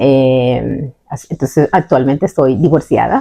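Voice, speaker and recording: A woman is speaking. Her pace is fairly slow. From Colombia, La Guajira. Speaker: podcast co-host. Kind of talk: casual conversational podcast.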